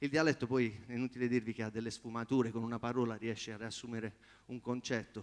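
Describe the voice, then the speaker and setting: Flat and monotone, a man at medium pitch talks at a very fast pace. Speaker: competing singer-songwriter. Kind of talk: audience Q&A after performance. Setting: theatre stage with audience.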